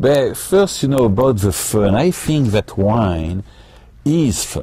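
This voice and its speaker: Somewhat breathy, this man's voice has a dark, mellow tone and very wide pitch swings. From France. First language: French. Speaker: winery owner and winemaker. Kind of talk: casual interview. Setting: live webcast from a winery tasting room.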